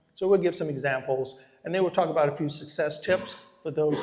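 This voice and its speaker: Noticeable background noise sits behind a man whose fairly high voice moves at a fairly quick pace with fairly even intonation. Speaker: real estate investor and educator. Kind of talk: live workshop presentation. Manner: fast.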